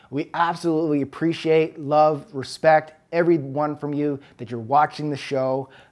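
The speech moves at a moderate pace with hardly any pauses and monotone, flat intonation. The background is quiet. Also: man, fairly high pitch for a man. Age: 30s. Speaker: fitness podcast co-host. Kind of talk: casual Q&A chat.

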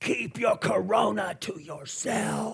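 A man's put-on character voice, gruff and growling, high in pitch, at a very slow pace. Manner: hostile.

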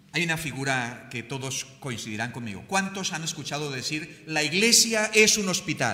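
A man speaks at a fairly high pitch, his voice swinging very widely in pitch. Audible room echo surrounds him. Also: moderate pace, hardly any pauses. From Colombia. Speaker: pastor. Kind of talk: sermon.

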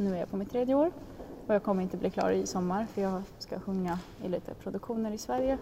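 A woman talks with lively intonation while background noise is noticeable. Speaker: opera singer and music student. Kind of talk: interview. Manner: halting.

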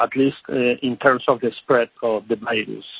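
This man speaks with a Spanish accent. His pace is fairly slow. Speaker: policy expert. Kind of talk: panel briefing. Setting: phone call. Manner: halting.

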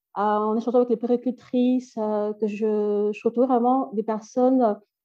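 A woman with a fairly high pitch speaks at a fairly slow pace in an ordinary speaking voice. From Belgium, Brussels. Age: 30s. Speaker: NGO founder, childcare trainer. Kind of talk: interview.

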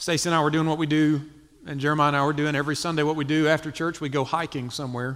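Speaking at a very fast pace, a man uses a monotone, flat intonation with a Southern US accent. His pitch is fairly high. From US South, South Carolina. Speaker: missionary church planter. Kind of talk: testimony. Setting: church stage with audience.

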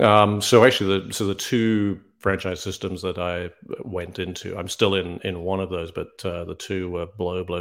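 His intonation fairly even, a man talks in a very deep, low pitch. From UK. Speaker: franchise consultant. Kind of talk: interview. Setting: video call.

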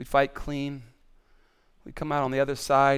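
Fairly slow speech sits in a very clean recording with a silent background. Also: man. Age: 50s. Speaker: pastor. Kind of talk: sermon. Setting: stage with audience. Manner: animated.

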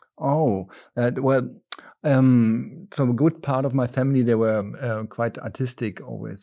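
A man with a German accent, medium pitch and a dark, mellow tone, at a moderate pace with ordinary pitch variation, against a quiet background. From Germany (near Berlin). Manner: halting, many fillers.

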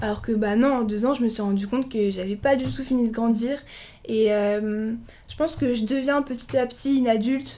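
A woman's fairly high pitch carries a dark, mellow tone. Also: fairly even intonation, moderate pace. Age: 20s. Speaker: law student. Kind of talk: casual interview. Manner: hesitant, many fillers.

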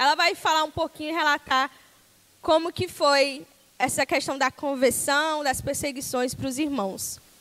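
This woman's voice is high-pitched with a bright, sharp tone. She talks fairly slowly in an animated tone with ordinary pitch variation. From Brazil, Tocantins. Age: 20s. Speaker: missionary. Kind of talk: sermon. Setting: church.

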